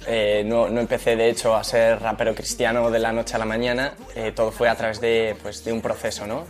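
Words come at a fairly quick pace with hardly any pauses and fairly even intonation over noticeable background noise. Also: man, medium pitch for a man. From Madrid, Spain. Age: 20s. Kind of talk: interview testimony.

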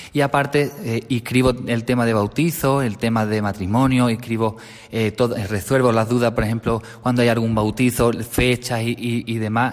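With fairly even intonation, a man holds a medium pitch and a moderate pace. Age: 30s. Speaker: parish sacristan. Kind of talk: radio interview. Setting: radio studio. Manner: halting, repeats words.

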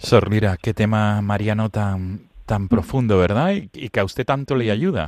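In an unremarkable speaking voice, a man with a fairly low pitch talks at a fairly slow pace with ordinary pitch variation, in a very clean recording with a silent background and a dry, close sound with no echo. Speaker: priest and radio host. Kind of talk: radio interview.

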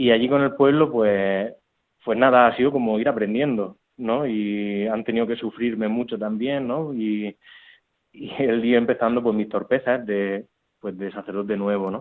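Speaking at a fairly slow pace, a man keeps a medium pitch and fairly even intonation. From Murcia, Spain. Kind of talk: interview testimony. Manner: halting, with fillers and repetitions.

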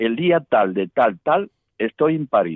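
His pitch swings very widely. The voice belongs to a man. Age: 70s. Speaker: circus performer and artist. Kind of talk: interview.

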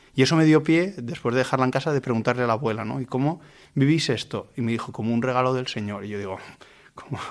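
A man with a medium pitch and ordinary pitch variation talks very fast. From Valencia region, Spain (Vilamarchant). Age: 30s. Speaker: seminarian. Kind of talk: radio interview. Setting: radio recording in a seminary.

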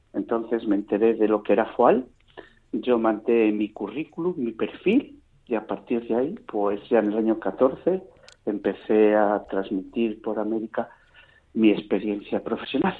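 This man has an ordinary speaking voice at a medium pitch. His pitch variation is ordinary. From Castile, Palencia province. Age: 60s. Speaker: retired blind teacher, volunteer. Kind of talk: radio interview.

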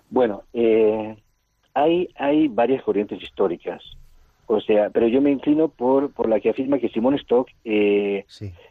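A man at a medium pitch and a moderate pace. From Spain, Castilla-La Mancha. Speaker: Carmelite priest, former missionary. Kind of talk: interview. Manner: halting.

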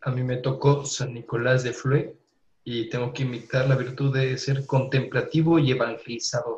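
The man's intonation is monotone and flat, his voice somewhat breathy. He speaks at a moderate pace. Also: medium pitch for a man. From Mexico. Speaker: religious novice. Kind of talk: interview. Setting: phone call.

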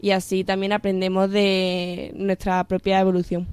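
Fairly slow delivery from a woman at medium pitch, with monotone, flat intonation. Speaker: university student. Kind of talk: casual chat.

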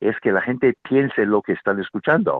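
Talking at a fairly slow pace, a man shows ordinary pitch variation. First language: English (speaking Spanish). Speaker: radio program presenter. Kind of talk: interview. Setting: phone call. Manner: halting.

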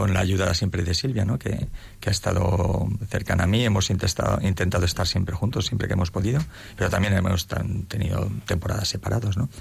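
Over noticeable background noise, a man talks at a fairly quick pace in a very deep, low pitch, with fairly even intonation and very even loudness. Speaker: army officer. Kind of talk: interview. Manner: halting, many repetitions.

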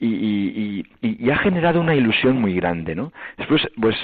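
A man's voice with very wide pitch swings. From Mallorca, Spain. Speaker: bishop. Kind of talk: interview. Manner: halting, with many repetitions.

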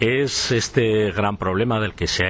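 This man has an unremarkable speaking voice, fairly low in pitch, with ordinary pitch variation and a fairly slow pace. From Aragón, Spain. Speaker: forestry and environmental expert. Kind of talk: radio interview.

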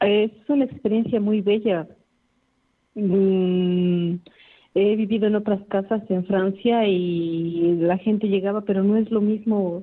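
A woman speaks with a Mexican accent at a medium pitch. Her intonation stays fairly even. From Mexico, Puebla. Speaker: nun. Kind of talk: radio interview.

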